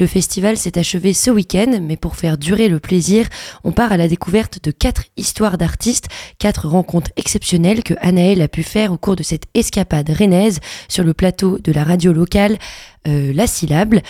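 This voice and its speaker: A woman speaks at a moderate pace with a medium pitch and a dark, mellow tone. Her pitch varies in an ordinary way, and the sound is dry and close with no echo. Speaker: radio host. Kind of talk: radio show presenting. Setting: studio.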